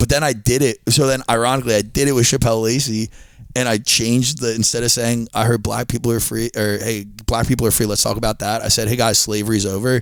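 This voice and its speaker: At a very fast pace, a man with an American accent speaks at a medium pitch in a monotone, flat intonation with very even loudness. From Delaware County, Pennsylvania. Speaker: stand-up comedian. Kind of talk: casual chat.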